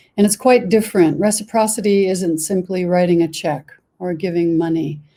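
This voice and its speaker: With an American accent, a woman speaks in a plain, everyday voice at a moderate pace and medium pitch, with ordinary pitch variation. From United States. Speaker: board member of a psychedelic research organization. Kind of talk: panel discussion.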